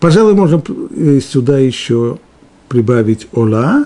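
A man speaks at a medium pitch with very wide swings in pitch. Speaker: Torah teacher. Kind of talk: lecture.

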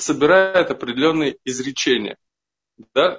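This man has an ordinary speaking voice. He goes at a moderate pace with ordinary pitch variation. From Pyatigorsk, Russia. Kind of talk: Q&A question.

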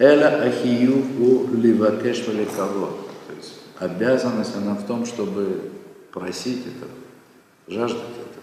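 A man speaks at a very slow pace, his loudness swinging widely, with noticeable background noise and audible room echo. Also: medium pitch for a man, fairly even intonation. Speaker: rabbi teaching Torah classes. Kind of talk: lecture.

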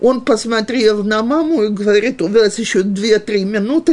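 With ordinary pitch variation, a normal speaking voice talks at a fairly slow pace. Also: woman. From Western Ukraine, Ivano-Frankivsk. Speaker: religious teacher for women. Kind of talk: lecture, personal life story. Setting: live class with audience, also streamed on video.

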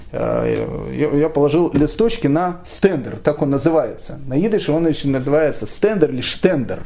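Noticeable background noise and audible room echo mark the recording. Through them, a man talks at a fairly slow pace. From Ukraine, Kyiv. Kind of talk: lecture. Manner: hesitant, with frequent fillers.

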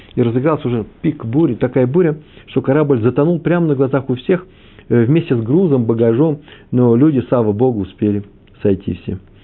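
This man speaks at a moderate pace and a medium pitch. His pitch varies in an ordinary way. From Moscow / Kyiv. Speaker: religious teacher. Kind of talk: lecture. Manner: hesitant, with fillers.

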